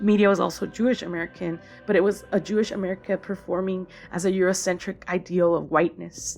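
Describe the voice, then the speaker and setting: With music in the background, a woman at a medium pitch talks at a fairly quick pace with fairly even intonation. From Tijuana / San Ysidro border region. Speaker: media studies commentator. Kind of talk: personal essay read aloud.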